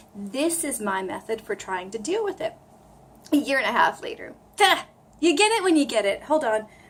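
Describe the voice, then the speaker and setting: A woman with an American accent and an animated tone, at a fairly quick pace, with very wide pitch swings, long, frequent pauses and noticeable background noise. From US East Coast. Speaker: language learner vlogger. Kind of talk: casual vlog tutorial.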